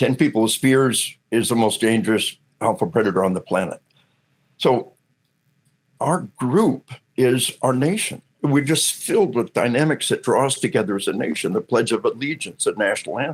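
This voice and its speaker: Pitched in the medium range, a man talks at a moderate pace with very wide pitch swings. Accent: American. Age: 60s. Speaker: retired army officer, author and speaker. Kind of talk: interview conversation. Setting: podcast. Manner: animated, repetitive stammering starts.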